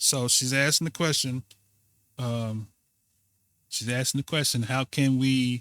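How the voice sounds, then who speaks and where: At medium pitch, a man speaks at a fairly slow pace with fairly even intonation and long, frequent pauses, the sound dry and close with no echo in a very clean recording over a silent background. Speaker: religious teacher. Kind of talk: reaction commentary with reading aloud.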